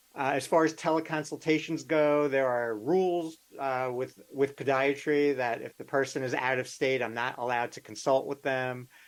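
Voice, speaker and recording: A man with an unremarkable speaking voice, fairly high in pitch, talks at a moderate pace with fairly even intonation and hardly any pauses. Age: 60s. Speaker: podiatrist. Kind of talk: interview.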